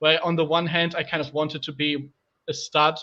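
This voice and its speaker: Someone speaks with a German accent at a fairly quick pace. The intonation stays monotone and flat. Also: man. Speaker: podcast host. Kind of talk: casual chat. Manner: halting.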